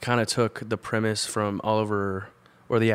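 A man with an American accent and an ordinary speaking voice talks at fairly low pitch and a moderate pace. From Georgia, US (Woodstock, north of Atlanta). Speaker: musician and filmmaker. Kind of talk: casual chat. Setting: studio.

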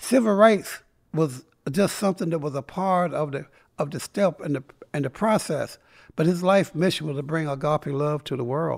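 This is a man's voice. He has a fairly high pitch and a slight North Carolina accent. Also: ordinary pitch variation, moderate pace, very clean recording, silent background. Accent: Southern US, slight North Carolina. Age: 70s. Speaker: civil rights activist. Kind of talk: casual interview storytelling. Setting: studio.

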